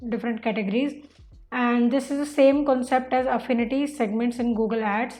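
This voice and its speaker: This woman has a high pitch and an Indian accent. She talks at a fairly quick pace in a monotone, flat intonation. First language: Hindi. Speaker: online marketing instructor. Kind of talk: tutorial. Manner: casual, filler-heavy.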